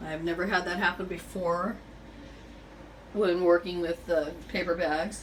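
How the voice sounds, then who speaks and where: Monotone and flat, the voice moves at a fairly slow pace with long, frequent pauses over noticeable background noise. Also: woman, fairly low pitch for a woman. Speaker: home decorating vlogger. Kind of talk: tutorial. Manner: halting, many fillers; casual.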